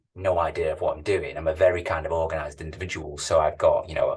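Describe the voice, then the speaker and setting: A man with a Manchester accent talks over a quiet background. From northern England, Manchester. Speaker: tech company CEO. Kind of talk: interview. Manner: hesitant, repeats words.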